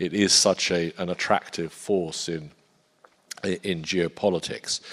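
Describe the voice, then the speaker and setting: Over a very clean, silent background, a man with an English accent and a very deep, low pitch speaks fairly slowly with fairly even intonation. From Poland. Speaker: defence industry strategist. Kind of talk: panel talk. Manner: hesitant, many fillers.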